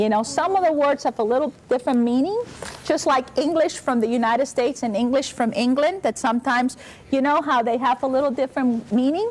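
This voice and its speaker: In a Spanish accent, a woman speaks at a high pitch and fairly quick pace with an animated tone, ordinary pitch variation and very even loudness, over noticeable background noise. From Spain (Basque region), born in Cuba. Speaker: university president. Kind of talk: talk to schoolchildren.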